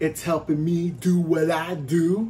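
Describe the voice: A man speaks at a fairly high pitch with a slightly mellow tone.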